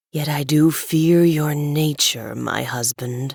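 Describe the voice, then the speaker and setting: A put-on character voice at low-to-middle pitch moves at a fairly slow pace. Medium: read story. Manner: low, scheming.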